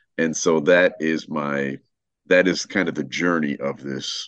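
Using vocal fry, a man with very deep, low pitch talks at a fairly slow pace and fairly even intonation in a dry, close sound with no echo. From Chicago, German-speaking immigrant family, later Germany. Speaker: author and podcaster. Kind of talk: casual interview chat. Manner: hesitant with many fillers.

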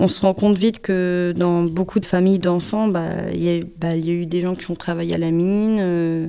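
A woman's fairly low, monotone voice at a moderate pace, with noticeable background noise. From northern France, Pas-de-Calais mining basin. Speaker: musician and punk singer. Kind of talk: interview testimony.

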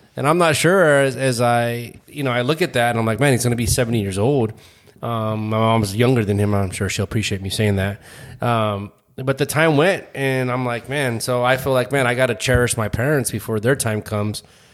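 In a normal speaking voice with ordinary pitch variation, the speaker goes at a fairly quick pace on a very clean recording with a silent background. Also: man, medium pitch for a man. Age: 40s. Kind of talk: casual chat; prayer.

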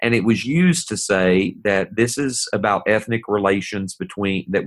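A man with an Appalachian accent on a very clean recording with a silent background. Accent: Appalachian Southern US. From US South, East Tennessee. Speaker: pastor. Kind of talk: podcast discussion.

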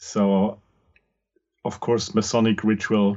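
This man has a fairly low pitch. He talks at a fairly slow pace. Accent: Austrian. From Austria. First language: German. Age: 50s. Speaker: podcast host and occult practitioner. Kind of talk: interview conversation.

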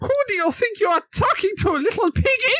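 A put-on character voice, extremely high in pitch, at a fairly quick pace. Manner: indignant, dramatic.

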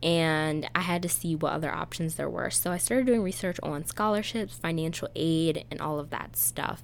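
A woman with an American accent talks at a moderate pace. She leaves hardly any pauses. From Pennsylvania. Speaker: podcast host and college admissions coach. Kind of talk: casual monologue.

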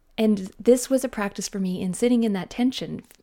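A woman with a fairly high pitch and a dark, mellow tone speaks at a moderate pace, her pitch varying in an ordinary way. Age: 30s. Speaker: podcast host and life coach. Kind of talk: solo podcast monologue. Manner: casual, laughs often.

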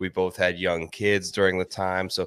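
A man with a fairly low voice speaks in an American accent, the sound dry and close with no echo on a very clean recording with a silent background. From Ohio. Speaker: golf betting analyst and podcaster. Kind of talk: interview.

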